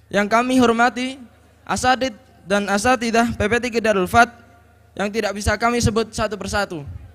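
This man's voice is high-pitched, with fairly even intonation, and he speaks at a moderate pace. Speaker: event MC. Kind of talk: formal event announcements. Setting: stage with audience. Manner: formal. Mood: formal, respectful. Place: stage. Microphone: handheld.

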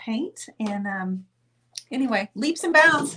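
Speaking at a very slow pace, a woman has a fairly high pitch and a bright, sharp tone, with light background noise behind her. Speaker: painting artist and channel host. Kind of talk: live-stream painting show with giveaway. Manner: chatty, warm. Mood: cheerful, festive. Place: studio.

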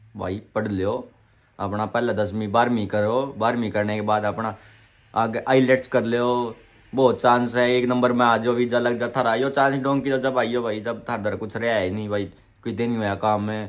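Flat and monotone in intonation, a man talks at a moderate pace. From Haryana, Panipat; Haryana. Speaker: vlogger. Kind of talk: Q&A vlog. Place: home room. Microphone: phone near.

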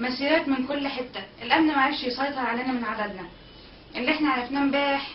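With an Egyptian accent, a woman speaks at a high pitch amid light background noise and audible room echo. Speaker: protest organizer. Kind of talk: eyewitness account. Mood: earnest, proud, emotional. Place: home room. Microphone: webcam.

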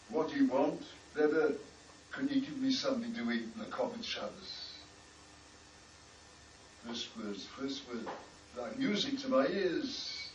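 A man with a British accent talks at a high pitch with very wide pitch swings, a fairly slow pace and long, frequent pauses, with audible room echo and light background noise. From United Kingdom. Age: 80s+. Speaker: rabbi, former army chaplain; rabbi. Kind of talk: personal recollection. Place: home room. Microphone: camera far.

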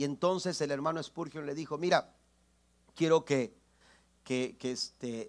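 A man speaks fairly slowly with long, frequent pauses. His pitch varies in an ordinary way, and the background is quiet. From Mexico, Tampico area; Mexico. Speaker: pastor. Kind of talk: sermon. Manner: halting, repeats words. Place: church.

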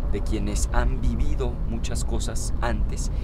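Loud background noise surrounds a man whose voice is recorded dry, with no echo. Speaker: interviewee. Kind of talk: interview answer. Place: car.

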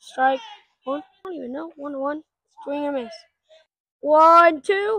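The pace is fairly slow, with long, frequent pauses, big swings in loudness and ordinary pitch variation. The tone is bright and sharp, with a dry sound with no echo and a quiet background. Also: woman, high pitch for a woman. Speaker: wiffle ball league organizer and commentator. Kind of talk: sports commentary. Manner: casual, joking, excitable and a bit scattered. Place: open country. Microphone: phone near.

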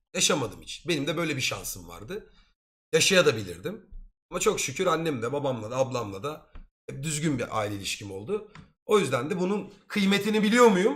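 A man's fairly high voice carries vocal fry, very wide pitch swings, and an animated tone. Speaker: streamer. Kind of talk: casual chat.

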